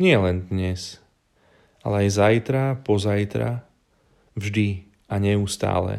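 On a very clean recording with a silent background, a man speaks at a very slow pace with a fairly low pitch and a dark, mellow tone. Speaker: preacher. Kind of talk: sermon. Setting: at home with family during holidays.

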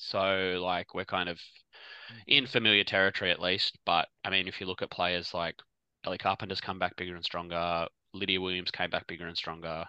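Speaking fairly quickly with an Australian accent, a man keeps a monotone, flat intonation in a very deep, low pitch. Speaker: podcast co-host.

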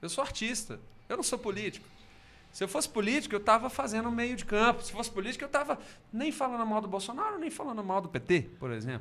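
A man's high-pitched voice at a very fast pace, with ordinary pitch variation and noticeable background noise. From Brazil, Belo Horizonte. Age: 40s. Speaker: singer-songwriter. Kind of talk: casual chat.

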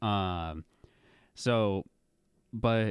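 A man with an ordinary speaking voice, a fairly low pitch and ordinary pitch variation, in a very clean recording with a silent background and a dry, close sound with no echo. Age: 20s. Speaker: student podcast host. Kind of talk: casual book discussion.

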